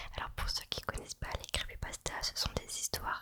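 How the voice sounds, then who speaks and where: Whispering from a woman. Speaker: ASMR creator. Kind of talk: ASMR whispered film chat. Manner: whispered.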